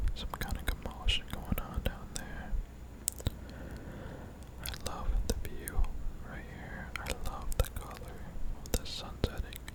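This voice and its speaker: Someone whispers in an intense tone, with long, frequent pauses. Noticeable background noise sits behind the voice. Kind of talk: ASMR gameplay commentary. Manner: close whispering, slightly intense.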